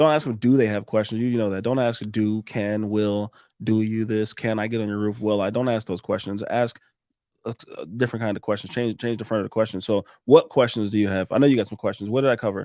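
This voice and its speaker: A man with a dark, mellow tone and fairly low pitch talks at a very fast pace. The recording is very clean, with a silent background. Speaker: roofing contractor. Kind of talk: casual chat. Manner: animated.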